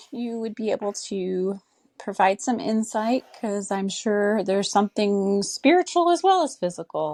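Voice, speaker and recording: With a Minnesotan accent, a woman at a medium pitch talks with hardly any pauses, the recording very clean with a silent background and the sound dry and close with no echo. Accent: Minnesota. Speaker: caller. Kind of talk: recorded voice message.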